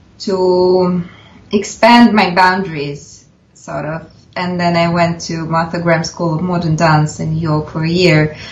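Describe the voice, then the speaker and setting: Fairly slow speech in a Russian accent, fairly even in intonation, with audible room echo. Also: woman, fairly low pitch for a woman. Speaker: film director and actress. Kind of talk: interview. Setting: video call.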